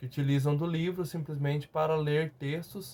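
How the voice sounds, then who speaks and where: A man talks fairly slowly in a fairly high-pitched, somewhat breathy voice. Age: 30s. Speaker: teacher, former master's student. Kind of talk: testimony. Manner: halting, many fillers and repetitions.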